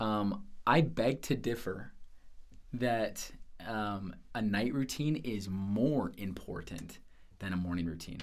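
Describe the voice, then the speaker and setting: Long, frequent pauses break up very slow speech in an American accent. Audible room echo surrounds the voice. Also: man, fairly low pitch for a man, ordinary pitch variation. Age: 20s. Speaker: sales manager. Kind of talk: casual interview.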